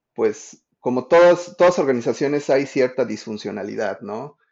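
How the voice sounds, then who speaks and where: A man speaks with ordinary pitch variation. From Mexico. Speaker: user experience designer. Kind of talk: interview.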